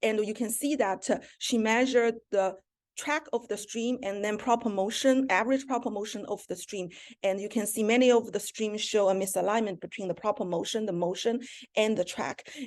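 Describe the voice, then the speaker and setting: A woman's fairly high voice with a non-native accent, fairly even intonation and a moderate pace, against a quiet background. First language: not English. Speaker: astronomer. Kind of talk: academic seminar talk.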